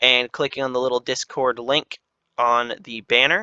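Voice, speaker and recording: Against a quiet background, a man of medium pitch speaks with a bright, sharp tone and monotone, flat intonation, the sound dry and close with no echo. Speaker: gaming video creator. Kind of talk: casual video narration. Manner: fast.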